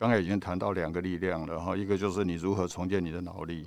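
In a very clean recording with a silent background, a man talks at a fairly quick pace and a very deep, low pitch with fairly even intonation. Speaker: retired doctor. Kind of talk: casual chat.

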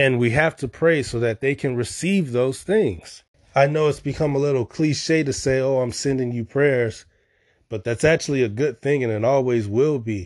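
In an American accent, a man with a plain, everyday voice talks at a moderate pace and medium pitch with ordinary pitch variation over a quiet background. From Chicago. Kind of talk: devotional teaching.

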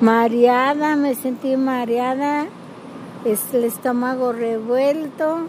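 A woman speaks at a very slow pace with a high pitch and fairly even intonation. Noticeable background noise sits behind her. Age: 60s. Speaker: host's mother. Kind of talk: casual interview.

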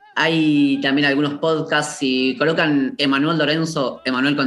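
The speaker goes at a fairly slow pace against noticeable background noise. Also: man. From Buenos Aires suburbs (José León Suárez). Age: 30s. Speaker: poet. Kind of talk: interview. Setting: remote call.

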